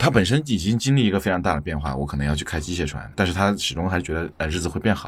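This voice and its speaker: Very fast and with lively intonation, a man speaks at a very deep, low pitch with vocal fry. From Chengdu. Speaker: podcast producer. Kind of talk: interview conversation.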